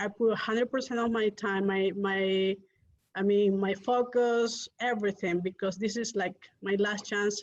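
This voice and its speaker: With a non-native accent, a woman speaks at a moderate pace in a fairly high pitch, her intonation monotone and flat. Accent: foreign. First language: not English. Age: young. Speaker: real estate investor. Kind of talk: interview.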